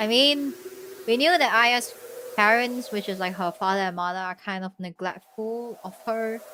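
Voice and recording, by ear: A woman with a fairly high, bright and sharp voice speaks deadpan at a moderate pace, her pitch varying in an ordinary way.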